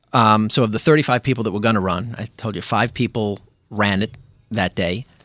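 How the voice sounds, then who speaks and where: A man's fairly low voice at a very fast pace with a New York accent. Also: very clean recording, silent background. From Brooklyn, New York (Flatbush). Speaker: amateur runner and running group organizer. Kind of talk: casual interview.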